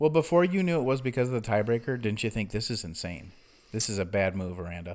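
The speech races along at a very fast pace with very wide swings in pitch. The recording is very clean, with a silent background. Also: man, medium pitch for a man. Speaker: podcast host. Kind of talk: casual chat. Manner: fast talker.

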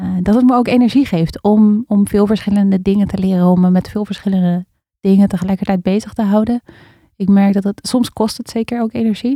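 A woman talks at a fairly quick pace in a somewhat breathy voice of medium pitch, dark and mellow in tone. Her intonation is fairly even, and the sound is dry and close with no echo. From Netherlands, Amstelveen near Amsterdam. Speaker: facilitator and spoken word poet. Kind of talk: casual interview.

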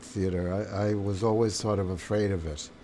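A man with an American accent speaks at a very deep, low pitch and a moderate pace. His intonation is fairly even, and the room echo is audible. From New York. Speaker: theater and film director. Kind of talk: interview. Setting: editing suite.

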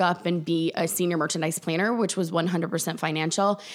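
A woman with an American accent speaks at a fairly quick pace and fairly low pitch with fairly even intonation, on a very clean recording with a silent background. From US South, South Carolina. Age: 40s. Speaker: boutique owner. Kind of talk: casual chat. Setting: in the host's house.

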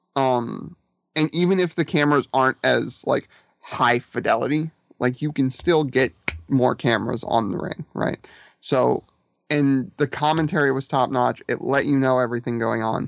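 An ordinary speaking voice from a man, moderate in pace with ordinary pitch variation, in a dry, close sound with no echo. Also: medium pitch for a man. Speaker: wrestling fan guest. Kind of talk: casual chat.

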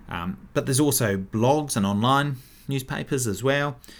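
This man has a New Zealand accent. He is the one speaking. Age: 30s. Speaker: podcast host and local councillor. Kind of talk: casual solo commentary.

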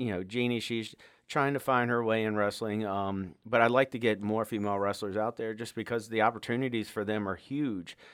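Intonation stays fairly even while the speech proceeds at a moderate pace. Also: man. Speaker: high school wrestling coach. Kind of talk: interview. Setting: studio. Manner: halting, many fillers.

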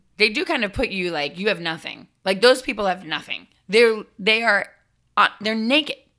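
A loud, animated woman's voice, fairly high, with a bright, sharp tone and lively intonation at a moderate pace, in a very clean recording with a silent background. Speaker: performer. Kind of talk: casual chat.

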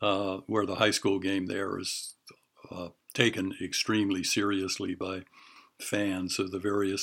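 At a moderate pace, a man talks in a fairly low, monotone voice with flat intonation. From Hawaii, Honolulu (early childhood near Pittsburgh). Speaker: retired writing professor and former athlete. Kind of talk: interview.

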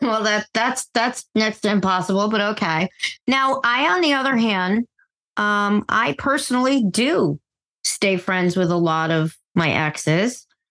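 A woman's bright, sharp voice, fairly high in pitch, with lively intonation, a fairly slow pace and very even loudness, dry and close with no echo against a quiet background. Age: 50s. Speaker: television industry worker. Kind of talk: casual chat.

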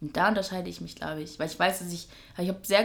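Audible room echo accompanies a woman speaking with vocal fry. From northern Germany, Schleswig-Holstein. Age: 20s. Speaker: fashion journalist and presenter. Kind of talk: casual interview. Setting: kitchen.

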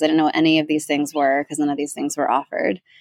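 A woman with a very deep, low pitch speaks with an American accent. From New York area. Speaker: podcast host. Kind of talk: casual interview.

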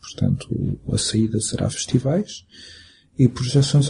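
A man speaks with medium pitch. His tone is dark, mellow and somewhat breathy. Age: 40s. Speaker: film director. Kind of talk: interview. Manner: halting.

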